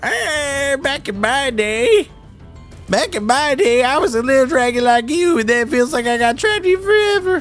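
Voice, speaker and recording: A high-pitched, put-on character voice moves at a moderate pace over clear music in the background. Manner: grumpy old-timer reminiscing.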